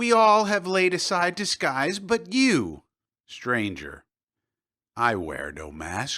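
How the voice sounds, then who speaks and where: The recording is very clean and the background silent. A man talks at a very slow pace. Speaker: audiobook narrator. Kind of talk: audiobook fiction reading.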